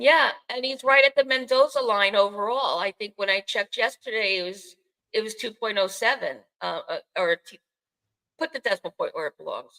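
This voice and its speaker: With a Bronx accent, a woman speaks at a moderate pace with big swings in loudness. The sound is dry and close, with no echo. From New York City, the Bronx. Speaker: podcast host. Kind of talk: casual chat. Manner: halting, many fillers.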